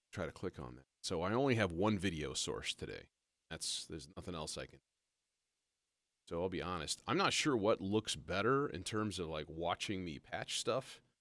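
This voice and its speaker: With vocal fry and lively intonation, a man talks at a moderate pace in a very deep, low voice. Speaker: live-streaming modular synth musician. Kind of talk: casual live stream talk.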